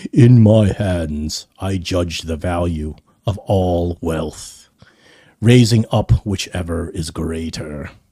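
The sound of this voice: Using a put-on character voice, a man booms in a very deep, low pitch at a very slow pace with ordinary pitch variation.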